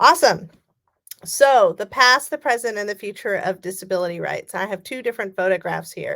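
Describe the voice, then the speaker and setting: In a Californian accent, a woman talks at a medium pitch. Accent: General American (Californian). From US West Coast, California Bay Area. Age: 40s. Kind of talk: keynote speech. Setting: virtual conference, remote.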